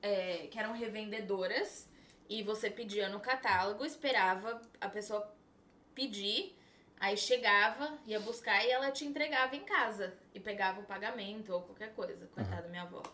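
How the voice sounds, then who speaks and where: A woman with a fairly high voice and an unremarkable speaking voice talks at a moderate pace, her pitch varying in an ordinary way while her loudness swings widely. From São Paulo, Brazil. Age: 20s. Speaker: makeup artist. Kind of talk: casual chat.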